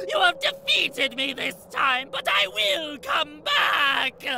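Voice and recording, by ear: A cartoonish character voice in a raised, shouting register, bright and sharp in tone with vocal fry, big pitch swings, a slow pace and faint background noise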